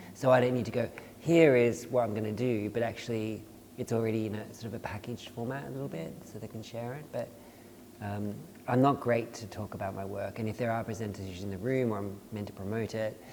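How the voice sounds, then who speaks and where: In an Australian accent, a man with a medium pitch talks at a very fast pace with big swings in loudness. Noticeable background noise is present. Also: ordinary pitch variation. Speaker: dance artist and choreographer. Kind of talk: casual panel conversation.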